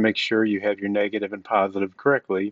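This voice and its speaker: A man speaks at a fairly low pitch, the sound dry with no echo and the background quiet. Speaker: hobbyist tractor owner. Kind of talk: tutorial. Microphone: phone near.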